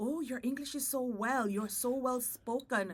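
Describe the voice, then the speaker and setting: The woman's voice is bright and sharp, with a fairly high pitch. She speaks with a Jamaican accent. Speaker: podcast host. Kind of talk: casual chat.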